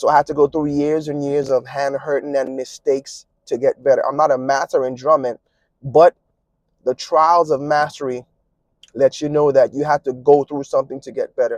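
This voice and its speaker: In a Virgin Islands accent, the voice moves at a moderate pace with monotone, flat intonation and a dry, close sound with no echo. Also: man, fairly high pitch for a man. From US Virgin Islands, Saint Thomas. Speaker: vlogger and musician. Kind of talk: casual vlog monologue. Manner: eats his words, mumbly.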